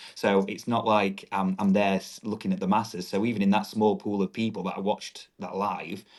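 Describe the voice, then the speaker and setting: The delivery is monotone and flat, at a fairly quick pace with hardly any pauses. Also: man, fairly low pitch for a man. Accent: strong northern English. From northern England, Doncaster, South Yorkshire. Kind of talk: podcast interview.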